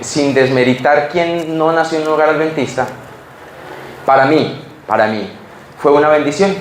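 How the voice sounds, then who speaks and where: With audible room echo and noticeable background noise, a man with a fairly high pitch speaks at a fairly slow pace. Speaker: preacher. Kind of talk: sermon. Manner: halting, repeats words.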